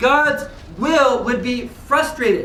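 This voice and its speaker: A man's raised, projected voice, animated and bright, sharp in tone, with audible room echo. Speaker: religious lecturer. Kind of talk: lecture. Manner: loud.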